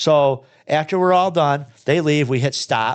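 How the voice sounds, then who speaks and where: Over a quiet background, a man speaks with a Michigan accent. His tone is animated, with ordinary pitch variation. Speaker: repair shop owner and podcast host. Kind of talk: casual podcast conversation. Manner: animated, blunt.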